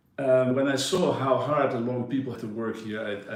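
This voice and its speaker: Speaking at a moderate pace and medium pitch, a man with a Dutch accent is heard with audible room echo. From Netherlands, Amersfoort. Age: 60s. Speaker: yacht broker. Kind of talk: interview.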